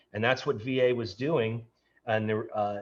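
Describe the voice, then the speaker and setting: Intonation stays fairly even as a man, medium in pitch, talks in a normal speaking voice. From New York. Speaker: tech entrepreneur. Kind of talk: casual interview chat.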